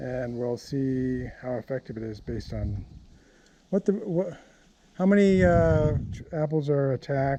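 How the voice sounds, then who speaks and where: The man's voice sits at a fairly high pitch with a dark, mellow tone. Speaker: home gardener. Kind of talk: tutorial. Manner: halting.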